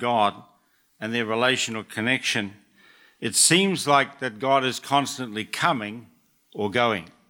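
Medium pitch from a man with a New Zealand accent, with a bright, sharp tone and ordinary pitch variation, at a fairly slow pace on a very clean recording with a silent background. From New Zealand (Auckland). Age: 70s. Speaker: church elder speaker. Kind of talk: short sermon. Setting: church stage with audience.

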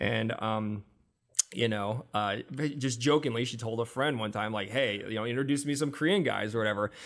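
In an American accent, an unremarkable speaking voice moves at a fairly quick pace with ordinary pitch variation. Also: man, medium pitch for a man. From US Midwest and Arizona (Iowa, Tempe). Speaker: music artist manager. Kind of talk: casual chat.

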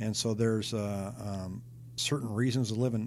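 This man has a plain, everyday voice at medium pitch. He talks at a moderate pace with fairly even intonation. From Seattle, US Pacific Northwest. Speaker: real estate agent. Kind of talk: interview.

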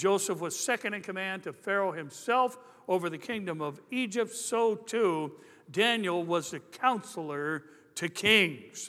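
A man speaks fairly slowly, his tone animated and his intonation lively. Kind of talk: sermon. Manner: animated, jokey opening that turns emphatic, call-and-response style; conversational, wry delivery with punchlines.

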